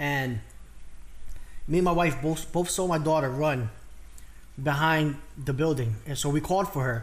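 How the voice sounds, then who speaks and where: A man with a fairly high, animated voice speaks at a moderate pace with ordinary pitch variation, long and frequent pauses, and audible room echo. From Puerto Rican / Dominican heritage, US. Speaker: mukbang YouTuber. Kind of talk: casual chat. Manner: loud; animated, halting.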